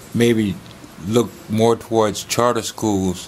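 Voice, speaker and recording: A man speaks at a fairly low pitch with ordinary pitch variation. There is noticeable background noise. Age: old. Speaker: TV program host. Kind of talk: TV interview.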